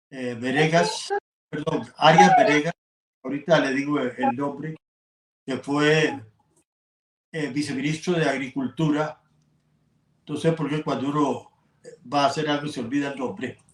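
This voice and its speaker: With a Costa Rican accent, a man talks at a fairly slow pace with long, frequent pauses. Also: fairly high pitch for a man, ordinary pitch variation. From Costa Rica, Atenas. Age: 80s+. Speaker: journalist and sports broadcaster. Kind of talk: interview. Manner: halting.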